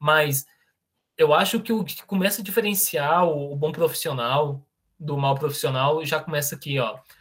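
A plain, everyday voice from a man, fairly high in pitch, at a moderate pace. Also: ordinary pitch variation. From Brazil, Goiás (Niquelândia). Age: 20s. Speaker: software tech lead. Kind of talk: online presentation with Q&A.

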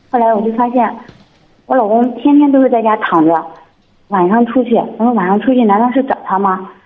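An unremarkable speaking voice at a fairly quick pace. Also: woman. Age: 30s. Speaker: caller seeking advice. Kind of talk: phone-in advice call.

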